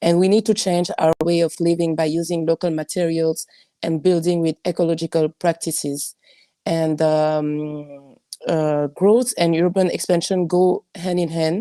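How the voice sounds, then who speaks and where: In a dry, close recording with no echo, a woman with a non-native accent speaks fairly slowly in a fairly low, dark, mellow tone with fairly even intonation. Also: very clean recording, silent background. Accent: non-native English speaker. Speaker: architect. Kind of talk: panel discussion, reading notes. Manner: halting.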